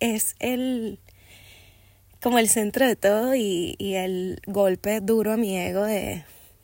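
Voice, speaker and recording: An animated tone on a very clean recording with a silent background. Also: woman. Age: 20s. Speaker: podcast host. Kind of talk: solo podcast monologue.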